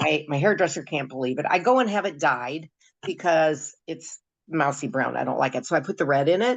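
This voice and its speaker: This woman has a very deep, low pitch, vocal fry, and lively intonation. She talks at a fairly quick pace against a quiet background. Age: 70s. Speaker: product user giving testimonial. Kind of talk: testimony. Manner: halting, many fillers.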